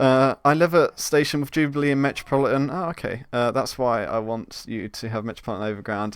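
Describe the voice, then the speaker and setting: The pitch varies in an ordinary way on a very clean recording with a silent background. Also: man. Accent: southern English. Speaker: game developer streamer. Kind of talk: live stream tutorial chat. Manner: halting, many fillers.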